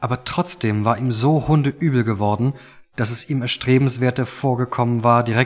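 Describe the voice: Someone reads the words aloud plainly.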